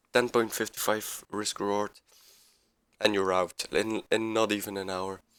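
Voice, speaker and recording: On a very clean recording with a silent background, a man with a non-native accent speaks at a fairly slow pace, his fairly low-pitched voice carrying a bright, sharp tone and monotone, flat intonation. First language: not English. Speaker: amateur forex trader, video creator. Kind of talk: screen-share trade breakdown tutorial. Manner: halting, repeats words; casual, informal.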